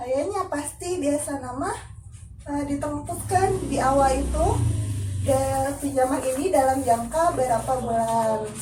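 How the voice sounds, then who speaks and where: The woman's voice is high-pitched, with ordinary pitch variation. Her pace is fairly slow. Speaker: family support program facilitator. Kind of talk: group session facilitation.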